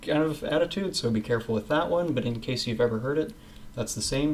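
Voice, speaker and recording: A man speaks with an American accent. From West Coast of North America. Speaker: English teacher. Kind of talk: casual English lesson to camera. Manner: casual, relaxed.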